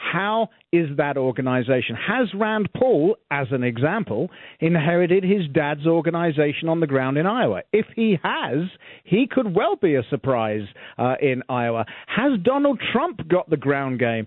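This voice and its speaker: A man with a British accent talks at a moderate pace. His fairly high pitch swings very widely. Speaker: radio talk host. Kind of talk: casual interview chat.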